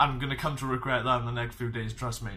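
A man speaks very fast. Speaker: fitness vlogger. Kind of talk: casual vlog chat. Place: home room. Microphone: webcam.

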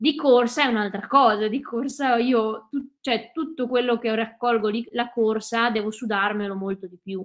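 Against a quiet background, a woman speaks at a moderate pace with hardly any pauses. Her pitch is fairly high and her intonation fairly even. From Veneto, Italy (Cadore, Dolomites). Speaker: ultra trail runner and ski mountaineer. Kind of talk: interview. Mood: relaxed, friendly. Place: home room.

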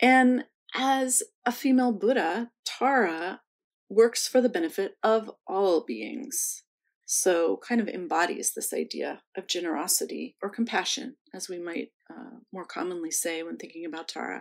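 A woman speaks with a fairly high pitch, lively intonation and vocal fry, at a fairly slow pace. Her loudness swings widely against a quiet background. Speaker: museum host. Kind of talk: welcome and introductions. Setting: online video session.

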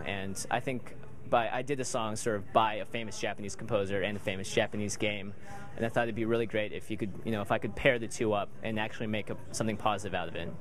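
A man talks at a very fast clip in a flat monotone, the sound dry with no echo and music playing behind him. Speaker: interviewee. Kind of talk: interview answer. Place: bar. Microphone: handheld.

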